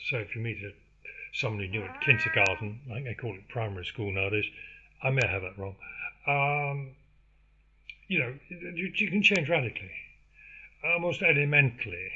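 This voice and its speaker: At a fairly quick pace, a man with an English accent speaks with big swings in loudness and long, frequent pauses. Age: 70s. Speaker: podcaster. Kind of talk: casual monologue. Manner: halting, many fillers.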